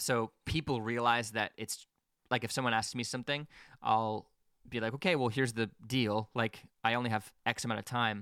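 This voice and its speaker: A man at medium pitch talks at a moderate pace with a bright, sharp tone and fairly even intonation. The sound is dry and close with no echo, a very clean recording with a silent background. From Quebec. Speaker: musician and audio engineer. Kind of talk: podcast interview.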